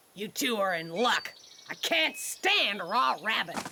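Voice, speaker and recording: Using a cartoonish character voice, a woman speaks at a medium pitch with very wide pitch swings. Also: fairly slow pace. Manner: brash, folksy, coarse.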